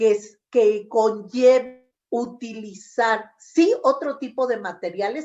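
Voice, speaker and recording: Lively intonation marks this woman's fairly high voice as she speaks at a very slow pace. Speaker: education specialist and former teacher. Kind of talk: interview, lecture-style explanation to teachers. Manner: loud; animated.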